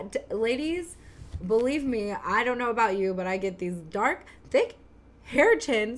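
In a plain, everyday voice, a woman speaks at a fairly slow pace and a fairly high pitch. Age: 30s. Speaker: podcast co-host, mom. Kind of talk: casual chat.

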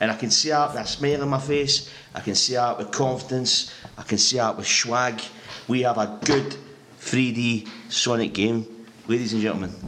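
A man with a Scottish accent and fairly even intonation, over noticeable background noise. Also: medium pitch for a man, moderate pace. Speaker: podcast co-host. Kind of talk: casual chat. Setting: home microphone.

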